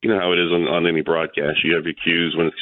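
The speaker has an American accent and keeps a fairly quick pace. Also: man. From Florida (Tampa). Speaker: motorsports radio broadcaster. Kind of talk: casual interview. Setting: phone call.

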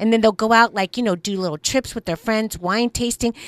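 In a very clean recording with a silent background and a dry, close sound without echo, a woman with an unremarkable speaking voice talks at a fairly quick pace, her fairly high pitch showing ordinary variation. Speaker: radio co-host. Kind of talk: casual banter on talk radio.

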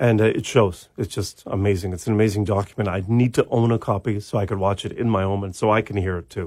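A man with a fairly low pitch, a very fast pace and fairly even intonation. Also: very clean recording, silent background. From Victoria, British Columbia, Canada. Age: 50s. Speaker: punk musician. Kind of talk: casual interview. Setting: studio.

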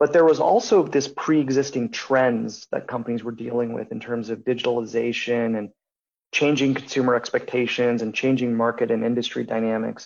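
This man has an unremarkable speaking voice at a medium pitch with fairly even intonation. He talks at a fairly quick pace. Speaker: business consultant. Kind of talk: radio interview.

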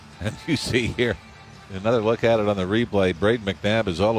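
With music in the background, a man with a fairly low pitch talks at a fairly quick pace. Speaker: hockey colour commentator. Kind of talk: live sports replay analysis. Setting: broadcast booth at arena. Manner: conversational, explanatory breakdowns.

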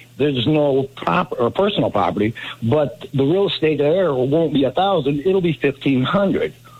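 Over noticeable background noise, a man with a fairly high pitch speaks at a moderate pace with lively intonation and very even loudness. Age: 60s. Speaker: caller. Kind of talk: call-in.

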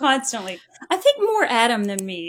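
Pitched fairly high, a woman talks at a fairly quick pace with very wide pitch swings. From Kentucky, Owensboro. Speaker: hospital fundraiser and mother. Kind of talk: casual chat.

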